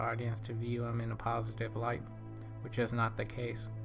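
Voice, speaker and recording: A man's voice at medium pitch and moderate pace, with music in the background. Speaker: film reviewer. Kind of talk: film commentary to camera. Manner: mumbling.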